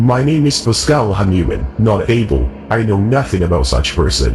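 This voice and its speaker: A man's put-on character voice, robotic and raspy, fairly low-pitched with very wide pitch swings at a moderate pace, over clear background music. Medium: video game. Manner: measured, formal.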